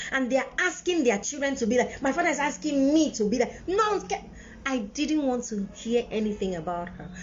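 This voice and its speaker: A woman with a high pitch and very wide pitch swings speaks in an animated tone at a moderate pace over noticeable background noise. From Nigeria, Enugu then Lagos. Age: 40s. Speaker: parenting video host. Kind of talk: live-stream monologue.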